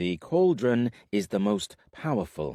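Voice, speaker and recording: A man puts on a rumbling character voice with a fairly low pitch, speaking at a fairly slow pace. The recording is very clean, with a silent background. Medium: read story.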